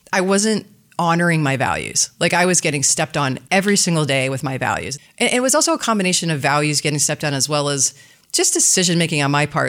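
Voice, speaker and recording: A woman with an American accent and a fairly low voice talks at a very fast pace with lively intonation. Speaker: business development executive. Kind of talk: casual interview chat. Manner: fast talker.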